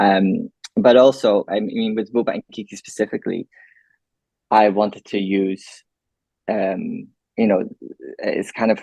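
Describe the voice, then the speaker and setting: A man speaks with a Limburg accent at a fairly slow pace, leaving long, frequent pauses. The sound is dry and close with no echo. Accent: Dutch (Limburg) accent in English. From Netherlands, Maastricht area. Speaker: filmmaker. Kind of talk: interview Q&A.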